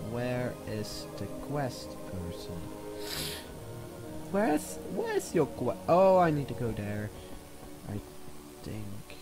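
A man speaks at a very slow pace, with long, frequent pauses. Music plays in the background. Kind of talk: casual gameplay commentary. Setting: new microphone.

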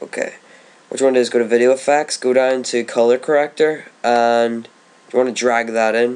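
This man speaks at a medium pitch with monotone, flat intonation. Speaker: gaming video tutorial maker. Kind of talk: tutorial. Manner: casual, hesitant with fillers.

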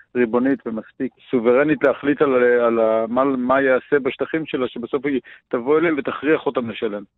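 A man with a plain, everyday voice at a medium pitch and moderate pace, with fairly even intonation and hardly any pauses. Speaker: farmer and archaeologist, environmental activist. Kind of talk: radio interview. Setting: radio call.

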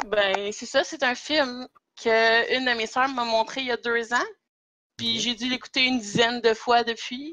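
A woman speaks at a fairly slow pace with a Quebec accent, her pitch high. Her tone is bright and sharp, and her intonation stays fairly even. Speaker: podcast guest. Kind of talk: casual chat.

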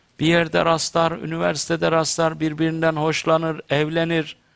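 Moderate-paced male speech over a quiet background. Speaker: theologian talk show host. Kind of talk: religious talk to studio audience. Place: studio. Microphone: headset.

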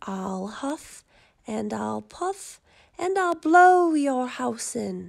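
Growling and using vocal fry, a woman puts on a character voice at a fairly high pitch, very slow, with big pitch swings.

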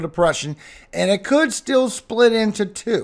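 A man talks with ordinary pitch variation over a quiet background. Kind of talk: weather update commentary.

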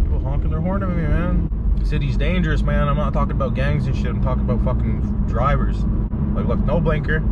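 A man at a fairly quick pace, dry sound with no echo, over loud background noise. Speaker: vlogger. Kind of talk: casual vlog chat. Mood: joking, mildly irritated. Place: car. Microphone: phone near.

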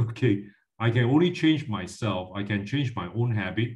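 A man speaks at a moderate pace in a fairly low, somewhat breathy voice. The background is quiet. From Malaysia. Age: 50s. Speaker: finance educator. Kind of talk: lecture. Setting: video call. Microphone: video call.

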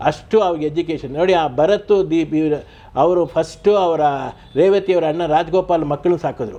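A man's high-pitched voice carries a dark, mellow tone and fairly even intonation. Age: 70s. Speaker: retired telephone engineer, relative of a film actor. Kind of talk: interview reminiscence.

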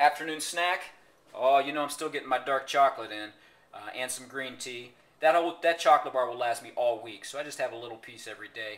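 A man talks at a fairly quick pace, with ordinary pitch variation and big swings in loudness. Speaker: fitness trainer. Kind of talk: casual vlog chat. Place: kitchen. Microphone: phone near.

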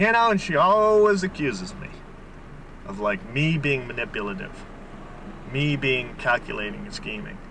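A man's voice swings very widely in pitch and shifts greatly in loudness, broken by long, frequent pauses. The sound is dry with no echo, over light background noise. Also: fairly high pitch for a man, moderate pace. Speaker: storyteller. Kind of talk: casual monologue in a car. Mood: aggrieved, storytelling. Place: car. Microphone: old recording.

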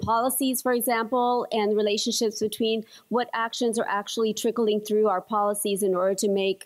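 Against a quiet background, a woman speaks at a moderate pace in a monotone, flat intonation. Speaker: conference panelist. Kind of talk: conference presentation. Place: hall. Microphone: podium.

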